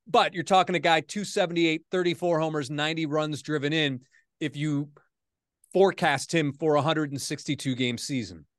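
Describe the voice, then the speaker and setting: A man talks at a fairly quick pace in an unremarkable speaking voice with ordinary pitch variation, over a quiet background. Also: fairly high pitch for a man. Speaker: sports anchor and podcast host. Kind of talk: casual sports talk podcast.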